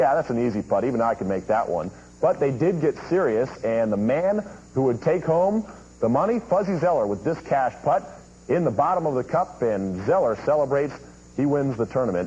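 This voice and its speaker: There is noticeable background noise as a man talks in a fairly high pitch. His pitch swings very widely. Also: moderate pace. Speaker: sportscaster. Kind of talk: TV sports news highlights read. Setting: dubbed VHS tape audio.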